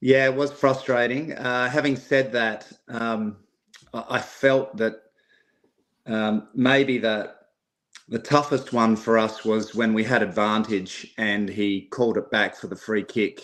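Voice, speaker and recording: Speaking with an Australian accent, a man keeps a fairly slow pace. His intonation is fairly even. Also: medium pitch for a man. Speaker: football fan caller. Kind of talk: casual chat. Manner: halting.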